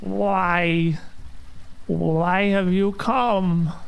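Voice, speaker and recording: A man's put-on character voice, high in pitch. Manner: ominous, questioning.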